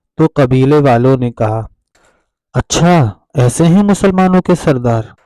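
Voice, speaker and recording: An ordinary speaking voice from a man, fairly high in pitch, with lively intonation and very even loudness, in a dry, close sound without echo. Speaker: Islamic lecturer / religious content creator. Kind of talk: religious talk to camera.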